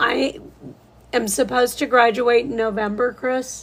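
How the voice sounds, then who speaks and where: With an American accent, a woman speaks at a very slow pace in a high pitch. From Southeast Florida. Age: 50s. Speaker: nurse and live-stream painter. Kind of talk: casual live-stream chat. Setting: live stream.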